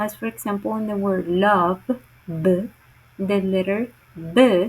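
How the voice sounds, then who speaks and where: A woman talks at a very slow pace with a Spanish accent. Her voice is somewhat breathy. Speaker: teacher presenting a class assignment. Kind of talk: recorded class presentation. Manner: halting, with self-corrections.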